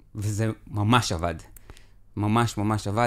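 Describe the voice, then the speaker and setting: There is a quiet background. A man speaks with a fairly low pitch. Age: 40s. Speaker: accountant and technology lead; podcast guest. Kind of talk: professional interview; interview answer. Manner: animated, repetitive. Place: studio. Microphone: studio mic.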